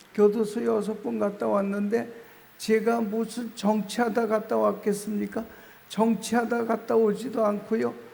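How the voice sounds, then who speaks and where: Set in audible room echo, a man's high-pitched voice moves at a fairly slow pace with monotone, flat intonation. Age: old. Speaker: pastor. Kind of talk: sermon. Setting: prayer retreat revival meeting. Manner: slow speech.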